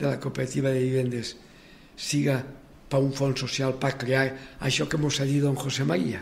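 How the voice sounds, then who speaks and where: A man's voice sits fairly high in pitch and comes across somewhat breathy. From Valencia region. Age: 80s. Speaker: cooperative movement pioneer. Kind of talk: interview, personal life story. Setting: radio studio. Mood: warm, reminiscing. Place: studio.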